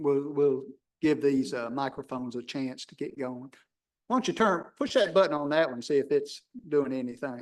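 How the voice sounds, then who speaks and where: In a Tennessee accent, a man speaks at a moderate pace. His pitch sits fairly high. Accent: Southern US (Tennessee). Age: old. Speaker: planning commission chair. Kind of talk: public meeting. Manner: loud.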